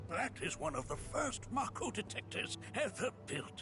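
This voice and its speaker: A put-on character voice moves at a moderate pace with very even loudness over loud background noise. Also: man. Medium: video game. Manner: chuckling, grandfatherly.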